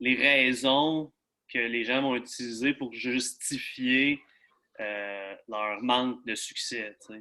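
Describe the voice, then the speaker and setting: In a Quebec accent, a man talks at a very slow pace and medium pitch with a bright, sharp tone. His loudness swings widely against a quiet background. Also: fairly even intonation. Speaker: fitness coach. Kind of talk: interview.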